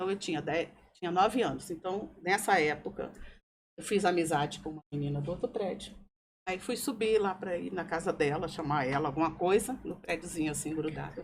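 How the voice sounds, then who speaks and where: This is an unremarkable speaking voice with ordinary pitch variation. The pace is fairly quick. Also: woman, fairly low pitch for a woman. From Brazil, Brasília. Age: 60s. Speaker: podcast guest. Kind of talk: personal testimony.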